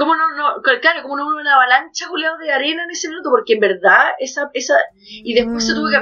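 Speaking at a fairly quick pace, a woman with a Chilean accent uses lively intonation. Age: 30s. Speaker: podcast co-host. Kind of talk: casual chat.

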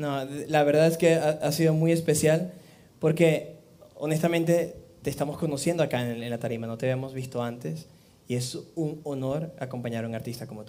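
The speaker talks at a moderate pace with ordinary pitch variation and big swings in loudness. Room echo is audible. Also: man, fairly high pitch for a man. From Venezuela, Amazonas. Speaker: live music show host. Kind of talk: live show hosting. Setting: studio with live band. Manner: animated.

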